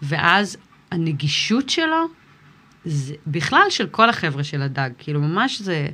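The pace is very slow. A woman with a fairly low voice speaks with lively intonation. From Israel. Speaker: musician, rapper. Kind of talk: interview.

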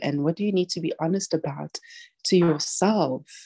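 A soft-spoken woman has a dark, mellow tone and a fairly low pitch with ordinary variation. The recording sounds dry and close, with no echo. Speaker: communication consultant and podcast host. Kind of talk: casual chat.

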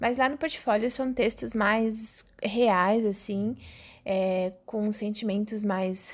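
A woman with a fairly high voice speaks very slowly, using ordinary pitch variation. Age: 20s. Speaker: podcaster and media student. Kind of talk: casual monologue. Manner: hesitant, with fillers.

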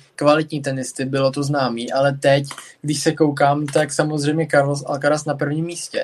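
At a moderate pace, a man speaks in a fairly high voice. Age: 20s. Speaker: tennis podcast host. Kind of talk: casual chat. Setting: live stream.

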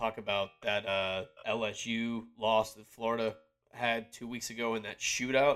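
The recording is very clean, with a silent background. A man speaks at a medium pitch and a fairly slow pace in an ordinary speaking voice. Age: 20s. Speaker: sports podcast co-host. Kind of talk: casual chat.

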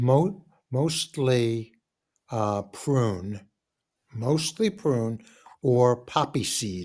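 With an American accent, a man talks at a very slow pace with long, frequent pauses, his medium pitch carrying lively intonation. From New York, Queens (Forest Hills). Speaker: podcast co-host. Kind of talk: casual chat.

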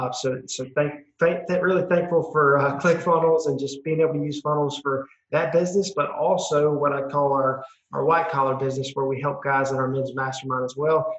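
A man with a Southern US accent talks at a fairly quick pace in a fairly high pitch. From South Carolina, US. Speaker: entrepreneur. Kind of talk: interview. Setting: video call. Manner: animated.

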